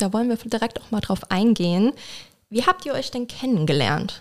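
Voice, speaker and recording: An ordinary speaking voice from a woman, fairly high in pitch, at a moderate pace. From Mülheim-Kerlich, near Koblenz. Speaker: podcast co-host. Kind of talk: casual interview.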